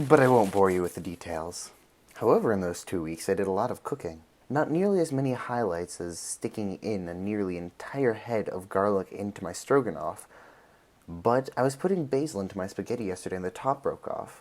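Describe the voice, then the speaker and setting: Speaking in a plain, everyday voice, a man goes at a fairly quick pace with fairly low pitch and lively intonation. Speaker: video blogger. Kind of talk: casual vlog.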